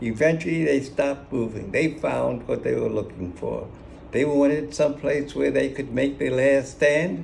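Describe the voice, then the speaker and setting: Noticeable background noise runs under a man with an American accent speaking at a moderate pace. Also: fairly high pitch for a man, ordinary pitch variation. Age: 80s+. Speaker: war veteran. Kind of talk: personal war memoir.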